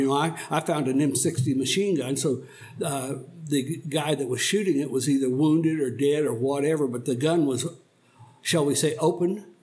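Amid noticeable background noise, a man with an American accent speaks at a fairly high pitch with ordinary pitch variation. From Oklahoma. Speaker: Vietnam War veteran. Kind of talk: elder telling war story in a slow, reflective recounting of life. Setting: podcast studio sit-down interview. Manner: halting, reflective, searching for memories.

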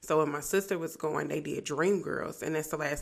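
On a very clean recording with a silent background, a woman speaks fairly quickly with vocal fry at a very deep, low pitch with ordinary variation. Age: 20s. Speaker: podcast host. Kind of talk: casual solo podcast monologue.

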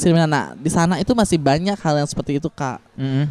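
In a dry, close sound with no echo, a man speaks at a fairly quick pace with a dark, mellow tone and ordinary pitch variation. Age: 20s. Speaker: transgender and sex worker rights activist. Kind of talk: interview.

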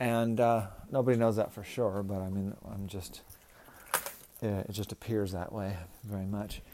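A man with a fairly low pitch and monotone, flat intonation speaks at a moderate pace with long, frequent pauses over noticeable background noise. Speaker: real estate agent. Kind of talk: sales pitch and casual chatty update. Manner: chatty, rambling, uses fillers.

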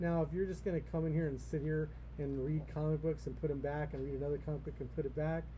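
The speaker talks at a very fast pace in an American accent. Room echo is audible. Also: man. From Los Angeles, California. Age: 50s. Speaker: comic shop owner. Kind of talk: casual interview.

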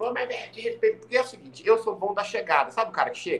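A man speaks at a fairly quick pace. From Maringá, Paraná, Brazil (from age four). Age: 40s. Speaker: podcast guest. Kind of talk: casual chat. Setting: at home, in the kitchen.

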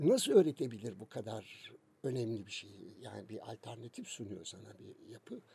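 With a dark, mellow tone and a somewhat breathy quality, a man moves through very wide pitch swings at a moderate pace. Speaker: music magazine founder. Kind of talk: casual interview.

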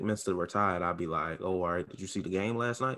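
A man with a normal speaking voice talks at a fairly quick pace. His pitch is fairly low, with ordinary pitch variation. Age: 20s. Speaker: podcast co-host. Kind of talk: casual chat.

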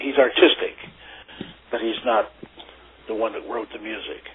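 Someone with an American accent speaks at a moderate pace in fairly even intonation, with big swings in loudness, long and frequent pauses, and noticeable background noise. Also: man. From western Pennsylvania (Oil City). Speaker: tuba player and music professor. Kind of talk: interview. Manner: halting.

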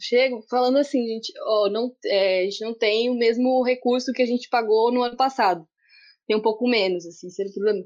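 In a normal speaking voice, a woman talks at a fairly quick pace with fairly high pitch and ordinary pitch variation over a quiet background. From interior of São Paulo state, Brazil. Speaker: community media worker and film festival producer. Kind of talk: video conference panel discussion. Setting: video call.

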